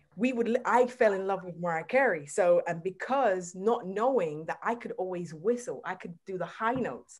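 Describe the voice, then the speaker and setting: Lively intonation marks a woman's speech. She keeps a moderate pace with hardly any pauses. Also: medium pitch for a woman, big swings in loudness. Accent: American. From England, Caribbean family, time in US. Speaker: gospel singer. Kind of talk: casual chat.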